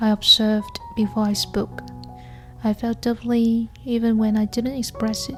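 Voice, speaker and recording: There is music in the background. A woman speaks at a fairly slow pace. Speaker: nurse. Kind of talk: casual talk to camera, personal vlog narration. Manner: soft-spoken, gentle, calm.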